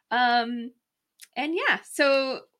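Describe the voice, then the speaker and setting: A woman speaks in a raised, projected voice pitched high. Her tone is bright and sharp. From New Mexico. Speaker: dental hygienist, podcast co-host. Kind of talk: casual chat.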